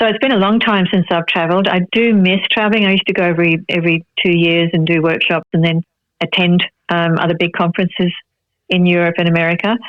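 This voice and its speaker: A very fast, very evenly loud delivery with fairly even intonation, in an Australian accent. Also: woman, fairly low pitch for a woman. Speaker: actress and Pilates teacher. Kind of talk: interview.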